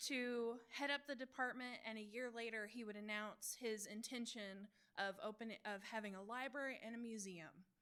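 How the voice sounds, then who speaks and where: A woman mumbling at a fairly high pitch, bright and sharp in tone, with fairly even intonation, a moderate pace and hardly any pauses. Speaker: Wikipedian in residence at a library. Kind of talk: presentation talk on library history. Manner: self-described mumbling.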